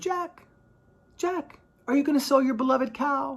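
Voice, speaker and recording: A put-on character voice, female-sounding and high-pitched, at a moderate pace. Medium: read story.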